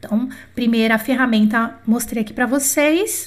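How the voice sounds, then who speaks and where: A woman speaks with a fairly high pitch. Her pace is fairly slow. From Brazil. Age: 40s. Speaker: French teacher. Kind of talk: online lesson. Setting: YouTube livestream. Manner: animated.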